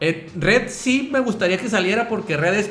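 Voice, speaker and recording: Loud and lively in intonation, a man talks at a moderate pace, with audible room echo and noticeable background noise. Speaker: podcast co-host. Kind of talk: casual chat.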